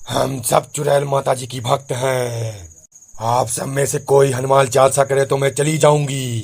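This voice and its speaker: Using a cartoonish character voice, a man at a medium pitch speaks at a moderate pace. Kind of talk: spooky comic cartoon voice. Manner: taunting.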